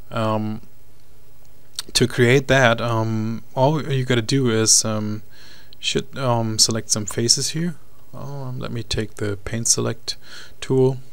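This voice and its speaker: Amid noticeable background noise and audible room echo, a man with a German accent speaks very slowly at a medium pitch, with fairly even intonation and long, frequent pauses. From Germany. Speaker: 3D modeling tutor. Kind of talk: software tutorial. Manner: halting, many fillers and repeats.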